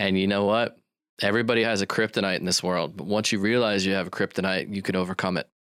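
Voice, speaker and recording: Very fast speech from a man with an American accent, fairly low in pitch with fairly even intonation, on a very clean recording with a silent background. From western US. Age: 40s. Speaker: marketing agency owner. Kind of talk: interview.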